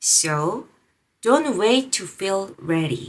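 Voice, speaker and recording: A woman of medium pitch speaks at a very slow pace with very wide pitch swings. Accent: non-native. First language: not English. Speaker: video creator, language learner. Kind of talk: motivational vlog talk. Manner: halting, self-correcting.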